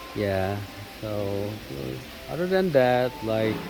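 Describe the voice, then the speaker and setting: Music plays in the background, and audible room echo surrounds the voice. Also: man. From South Korea. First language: Korean. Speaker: vlogger. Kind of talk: casual vlog talk. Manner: halting, many fillers.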